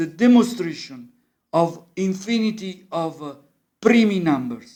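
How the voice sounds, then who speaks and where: A high-pitched man with an Italian accent, fairly slow, with ordinary pitch variation. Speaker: musician and amateur math explainer. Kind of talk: informal lecture. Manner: halting.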